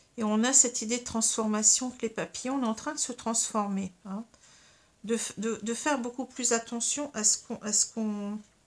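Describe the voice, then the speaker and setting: Fairly even intonation from a woman with a fairly high voice, at a moderate pace. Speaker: tarot and astrology reader. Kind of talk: tarot card reading. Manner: halting, many fillers.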